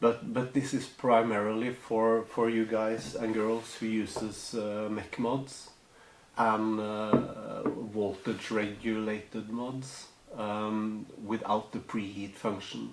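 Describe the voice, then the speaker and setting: Over light background noise and audible room echo, a man with a non-native accent speaks very slowly in a fairly low, monotone, flat voice. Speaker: hobbyist tutorial maker. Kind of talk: tutorial. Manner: halting, many fillers. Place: home room.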